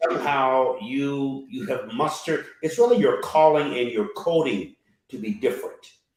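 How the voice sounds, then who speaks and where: With very wide pitch swings, a man speaks at a fairly high pitch. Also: moderate pace. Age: 70s. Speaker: bishop, panelist. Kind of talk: panel discussion.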